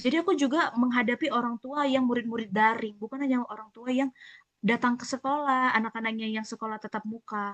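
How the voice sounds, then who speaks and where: This woman's voice is high-pitched, with a bright, sharp tone. She speaks very fast, and the sound is dry and close with no echo. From Batak (North Sumatra), lived in Papua. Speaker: school front-desk staff. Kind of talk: casual podcast chat. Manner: blunt, outspoken.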